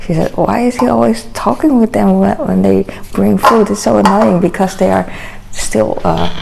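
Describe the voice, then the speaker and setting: The loudness stays very even throughout, with noticeable noise in the background. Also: woman, moderate pace. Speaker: vlogger. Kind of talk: casual vlog monologue. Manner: hesitant with many fillers.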